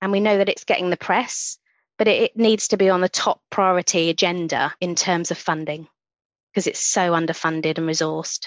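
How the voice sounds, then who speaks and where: A woman talks in a London accent at a fairly quick pace. Her tone is passionate and warm, with very even loudness. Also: fairly low pitch for a woman, fairly even intonation. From central London. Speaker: nurse and sonographer. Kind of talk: casual interview chat. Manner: passionate, warm.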